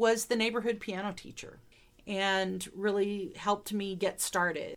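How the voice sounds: Here a woman speaks in a Midwestern accent. Her tone is fairly bright, with ordinary pitch variation. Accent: American Midwestern.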